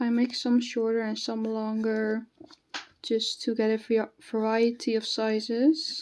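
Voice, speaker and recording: A woman's fairly high voice with a slight non-native accent, fairly even intonation and a fairly slow pace. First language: not English. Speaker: hobby artist, new video creator. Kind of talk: casual draw-along chat. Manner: halting, with fillers and self-corrections.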